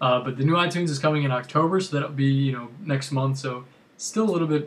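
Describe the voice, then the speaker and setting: Very fast speech from a man, fairly high-pitched and somewhat breathy, with ordinary pitch variation. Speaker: tech YouTuber. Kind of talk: casual video recap.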